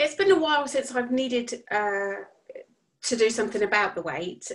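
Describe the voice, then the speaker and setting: With an English accent, a woman speaks at a high pitch with lively intonation. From southern England. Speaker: coaching client. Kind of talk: casual chat.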